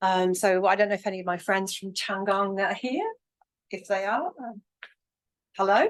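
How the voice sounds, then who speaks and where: A woman with an English accent, fairly even intonation and long, frequent pauses. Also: medium pitch for a woman, moderate pace. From England. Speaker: academic workshop convener. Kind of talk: lecture. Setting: hybrid workshop with online chat. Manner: hesitant, many ums.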